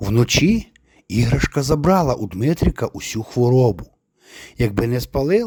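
Over quiet surroundings, lively intonation marks an unforced reading voice.

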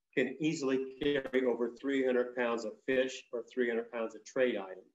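A man's speech, with fairly even intonation, carries audible room echo. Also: moderate pace. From Southern California. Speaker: traditional storyteller and Chumash elder; traditional storyteller. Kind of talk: talk to an audience. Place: home room. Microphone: video call.

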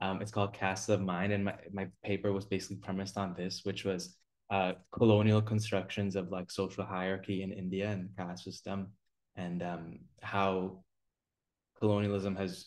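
A man with a very deep, low pitch speaks in a monotone, flat way over a quiet background. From Canada, Toronto. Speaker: graduate student; panelist. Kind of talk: webinar panel discussion. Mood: reflective, earnest. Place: home room. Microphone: webcam.

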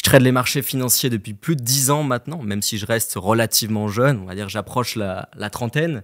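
Moderate-paced male speech, ordinary pitch variation, quiet background. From France, Annecy (Haute-Savoie); France. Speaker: independent trader, former broker; podcast guest. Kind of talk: casual chat. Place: studio. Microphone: studio mic.

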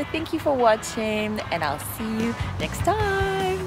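A woman speaks with a dry sound with no echo over loud music in the background. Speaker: English fluency teacher. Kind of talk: language lesson talk to camera. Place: garden. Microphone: phone near.

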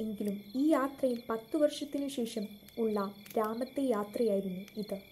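Here a woman talks in a high pitch. Her intonation is lively. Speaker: audiobook narrator reading a short story. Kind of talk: audiobook story narration.

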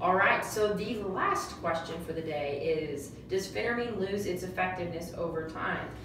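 Over noticeable background noise and audible room echo, a woman speaks at a moderate pace with a medium pitch. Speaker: co-host reading viewer questions. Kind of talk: casual interview Q&A. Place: office. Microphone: camera far.

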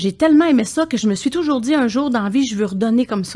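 Her intonation lively, a woman is speaking. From Quebec. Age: 60s. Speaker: singer and palliative care attendant; podcast guest. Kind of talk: podcast interview. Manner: halting, repeats words. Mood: warm, reflective. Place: studio. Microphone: studio mic.

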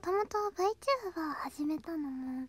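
A soft-spoken woman whispering at a fairly slow pace, dry with no echo, with music in the background. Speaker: VTuber illustrator and animator. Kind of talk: casual talk about her hobbies and channel. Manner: whispered, soft. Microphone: studio mic.

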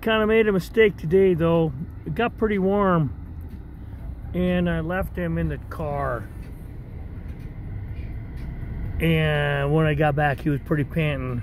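A man speaking fairly slowly with long, frequent pauses, dry and echo-free, over light background noise. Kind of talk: casual vlog chat. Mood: relaxed, fond. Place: car. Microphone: phone near.

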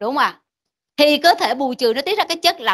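A woman's bright, sharp tone against a quiet background. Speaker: medical lecturer. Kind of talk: lecture. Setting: classroom. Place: classroom.

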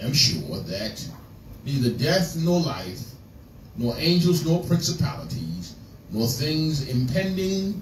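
Speaking very slowly with long, frequent pauses, a man is heard over light background noise and audible room echo. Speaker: preacher. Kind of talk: scripture reading in a sermon. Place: church.

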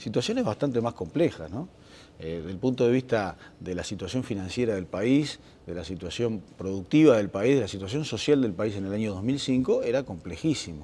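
A man speaks with a fairly low pitch and a dark, mellow tone. His intonation is lively. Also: moderate pace. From Uruguay. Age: 50s. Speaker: government official, accountant. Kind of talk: interview. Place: studio.

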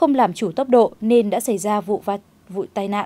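A woman's dark, mellow tone with lively intonation, on a very clean recording with a silent background. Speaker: news anchor. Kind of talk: news reading. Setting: studio. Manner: formal.

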